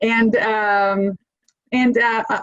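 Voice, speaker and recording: A woman's fairly high voice with a Spanish accent. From Argentina. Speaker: corporate lawyer. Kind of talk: panel discussion.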